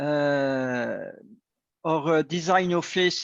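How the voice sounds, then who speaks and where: A man with a French accent, dry, close sound with no echo. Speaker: agtech company director. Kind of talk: panel discussion. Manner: halting.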